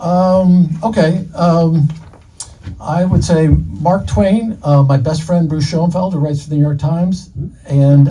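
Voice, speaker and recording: Very slow pace from a man, with a dark, mellow tone and somewhat breathy delivery. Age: 60s. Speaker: author. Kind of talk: live podcast interview. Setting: live event at a bookstore with audience. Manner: halting, many fillers and repeats.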